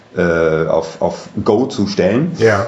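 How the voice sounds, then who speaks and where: Through audible room echo and noticeable background noise, a man speaks at a fairly low pitch. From Germany, Düsseldorf (Rhineland). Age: 40s. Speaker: hotel manager. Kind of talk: interview.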